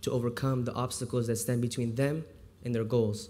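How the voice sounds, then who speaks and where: With an Iranian accent, a man speaks in a flat monotone, his tone dark and mellow. His voice is somewhat breathy, with audible room echo. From US, childhood partly in Houston, Texas. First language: Farsi. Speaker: volunteer literacy tutor. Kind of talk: speech. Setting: stage with audience.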